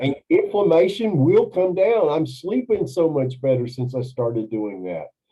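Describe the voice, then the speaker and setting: Fairly high-pitched male voice at a moderate pace, with very wide pitch swings and hardly any pauses. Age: 60s. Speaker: carnivore diet coach. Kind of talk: interview testimony. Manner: animated.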